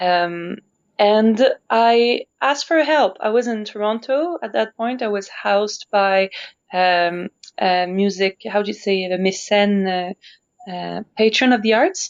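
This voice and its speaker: Speaking fairly slowly with a Quebec accent, a woman uses a medium-pitched voice and ordinary pitch variation. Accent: Québécois French accent in English. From Montreal, Quebec. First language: French. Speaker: opera singer. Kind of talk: interview conversation.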